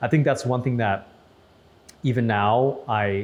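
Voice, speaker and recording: This man has an Upper Midwest accent and a medium pitch. His voice is somewhat breathy and his pace moderate. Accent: Upper Midwest American. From Saint Paul, Minnesota. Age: 30s. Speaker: news anchor. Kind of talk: interview testimony. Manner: casual, repetitive with restarts.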